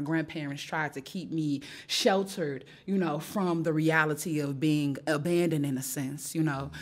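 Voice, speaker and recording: A woman with an American accent and a very deep, low pitch speaks at a moderate pace. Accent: Chicago with a slight Southern twang. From US Midwest, West Side of Chicago. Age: young. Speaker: educator. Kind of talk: interview. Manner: animated.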